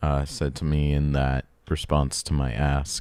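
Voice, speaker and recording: A man's very deep, low voice at a very slow pace. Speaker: game developer. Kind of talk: tutorial. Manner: halting.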